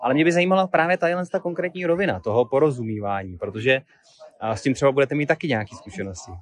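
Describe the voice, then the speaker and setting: Speaking very fast, a man with a fairly high pitch swings his voice very widely up and down, recorded dry with no echo. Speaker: interviewer. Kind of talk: interview. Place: garden. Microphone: phone near.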